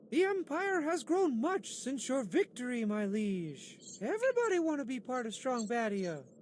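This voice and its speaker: In a put-on character voice with fairly high pitch and very wide pitch swings, the speaker goes at a moderate pace with hardly any pauses over clear background noise. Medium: video game. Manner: formal, addresses ruler as liege.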